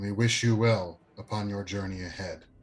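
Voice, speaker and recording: A booming, put-on character voice from a man, fairly low in pitch, at a moderate pace. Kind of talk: formal, ceremonial. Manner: big booming voice.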